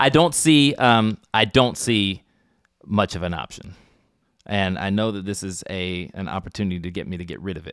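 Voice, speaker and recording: Captured in a very clean recording with a silent background, a man with a plain, everyday voice talks at a moderate pace and a fairly low pitch. His intonation is lively, and his loudness swings widely. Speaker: podcast co-host and player. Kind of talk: tabletop role-playing game session.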